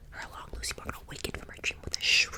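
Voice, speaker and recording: A woman whispers while noticeable noise fills the background. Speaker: ASMR artist. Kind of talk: ASMR scary story narration. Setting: close-mic studio. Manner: whispered, soft, tingly.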